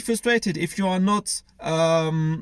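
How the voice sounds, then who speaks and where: A man speaks with a French accent and ordinary pitch variation. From France. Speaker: online business coach. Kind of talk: tutorial. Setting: screen recording. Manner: halting.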